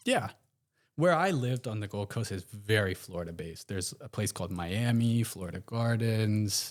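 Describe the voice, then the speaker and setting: A man with an American accent, a fairly low pitch, ordinary pitch variation, and a moderate pace, in a very clean recording with a silent background. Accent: American with slight Aussie twang. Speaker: guest. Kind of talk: casual chat.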